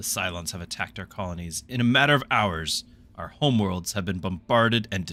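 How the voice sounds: The recording has a natural reading voice.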